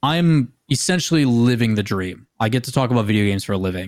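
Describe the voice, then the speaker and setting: This man talks at a fairly quick pace with an American accent, his pitch medium. He has an ordinary speaking voice, and the recording is very clean with a silent background. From US Midwest (Green Bay, Wisconsin). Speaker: esports caster and TV host. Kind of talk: casual chat.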